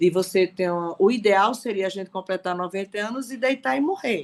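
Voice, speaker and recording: A woman's unremarkable speaking voice at a medium pitch, moderate pace and ordinary pitch variation. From Recife, Brazil. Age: 60s. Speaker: participant in an online reading circle. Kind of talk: testimony in a group discussion.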